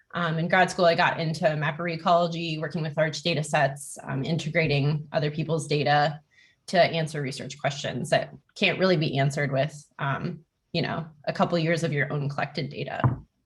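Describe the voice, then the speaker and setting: A woman speaks at a fairly quick pace in a very deep, low, somewhat breathy voice with monotone, flat intonation. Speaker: scientific programmer, workshop instructor. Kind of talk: online workshop presentation. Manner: fast.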